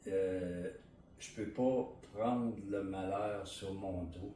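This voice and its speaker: In a Quebec accent, a man speaks at a fairly low pitch amid audible room echo. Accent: Québécois French. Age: 60s. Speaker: interviewee sharing personal story. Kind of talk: testimony. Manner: halting, many fillers and repetitions.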